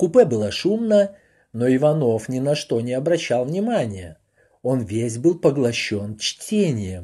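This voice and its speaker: Against a quiet background, a man speaks very slowly in a somewhat breathy, dark, mellow tone at medium pitch, with very wide pitch swings and big swings in loudness. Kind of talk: audiobook reading aloud of a printed foreword. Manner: even, measured, formal literary narration.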